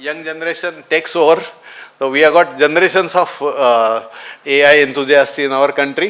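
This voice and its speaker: A man talks at a moderate pace with fairly even intonation and a fairly high pitch. Noticeable background noise sits behind him. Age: 70s. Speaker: doctor and conference speaker. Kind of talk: conference talk.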